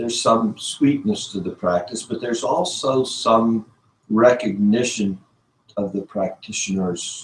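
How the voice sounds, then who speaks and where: Here a man speaks at a fairly slow pace, his medium pitch showing ordinary variation. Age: 60s. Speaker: spiritual teacher. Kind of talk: lecture. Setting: ashram class, streamed online. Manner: conversational, with hesitations.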